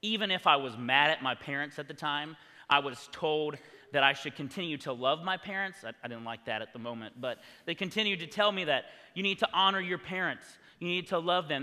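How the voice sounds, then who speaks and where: A man talks quickly in an unremarkable speaking voice, pitched fairly high. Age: 20s. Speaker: youth pastor. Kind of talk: testimony.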